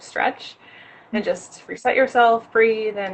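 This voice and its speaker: This woman speaks with an American accent at a moderate pace. Her intonation is fairly even, and there is noticeable background noise. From New York, Rockland County. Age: 20s. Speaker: fitness enthusiast. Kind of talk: interview.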